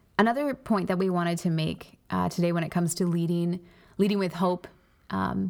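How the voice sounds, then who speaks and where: The recording is very clean, with a silent background. A woman with an unremarkable speaking voice speaks at a fairly low pitch, her intonation fairly even. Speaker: pastor and podcast co-host. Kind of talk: casual faith-based discussion.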